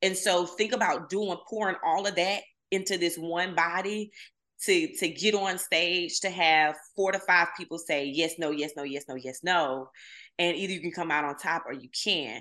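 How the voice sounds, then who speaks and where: Against a quiet background, a woman with a Southern US accent speaks in an animated tone that is bright and sharp, at a fairly low pitch. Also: ordinary pitch variation, moderate pace. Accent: Southern US (Georgia). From US South, southwest Georgia. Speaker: social media marketer and messaging coach. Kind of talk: casual interview.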